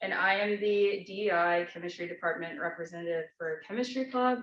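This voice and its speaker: A woman with an American accent and an unremarkable speaking voice, medium in pitch, at a moderate pace with ordinary pitch variation. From Texas, Dallas. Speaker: student club officer. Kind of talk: club meeting introduction.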